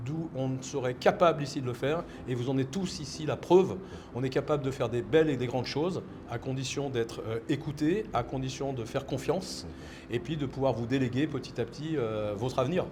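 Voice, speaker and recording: Noticeable background noise under a man's fairly high pitch, ordinary pitch variation and fairly quick pace. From France. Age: 60s. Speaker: entrepreneur. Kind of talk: interview. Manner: halting, many repetitions.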